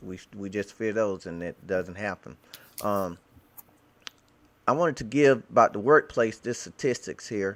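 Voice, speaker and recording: Speaking at a fairly slow pace with long, frequent pauses, a man with a fairly low voice and ordinary pitch variation swings widely in loudness, in a very clean recording with a silent background. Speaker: Bible teacher. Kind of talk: casual discussion. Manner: halting.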